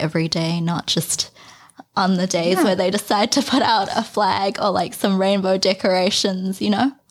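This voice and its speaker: Her medium-pitched voice shows ordinary pitch variation as the woman speaks at a moderate pace. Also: very even loudness. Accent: New Zealand. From New Zealand. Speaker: podcast host. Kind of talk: casual interview chat.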